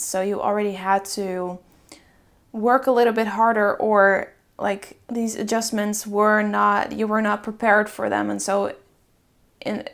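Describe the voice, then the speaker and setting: In a Dutch accent, the speech moves at a fairly slow pace with flat, monotone intonation. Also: woman. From Netherlands. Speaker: tarot reader. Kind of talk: pick-a-card tarot reading. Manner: casual, filler-heavy.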